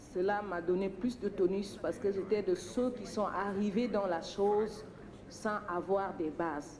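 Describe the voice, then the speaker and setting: A woman at a medium pitch and moderate pace, fairly even in intonation, with noticeable background noise. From Chad. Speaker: poultry processing entrepreneur. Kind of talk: audience testimony.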